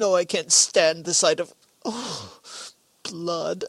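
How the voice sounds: A woman uses a put-on character voice at a fairly low pitch, with vocal fry and a slightly husky edge. She speaks at a slow pace with ordinary pitch variation, in a dry, close sound with no echo.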